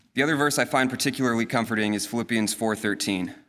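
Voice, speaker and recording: A man with an American accent talks at a fairly quick pace in a medium pitch, his intonation fairly even. He has a plain, everyday voice, and the recording is very clean with a silent background. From Colorado. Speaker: navy pilot. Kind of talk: testimony. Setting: church.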